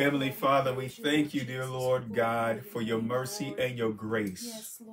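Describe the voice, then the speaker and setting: Noticeable background noise sits behind the voice. A man speaks at a fairly slow pace. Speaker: pastor. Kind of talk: sermon.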